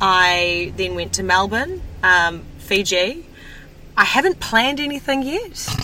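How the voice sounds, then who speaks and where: Speaking at a very slow pace, a woman talks with a New Zealand accent. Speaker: broadcaster, media personality. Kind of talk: casual chat.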